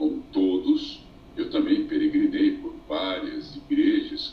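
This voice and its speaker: Speaking at a very slow pace, a man holds a flat, monotone delivery at an extremely high pitch. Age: 70s. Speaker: buddhist ascetic. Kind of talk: interview. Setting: live stream via phone. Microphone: phone.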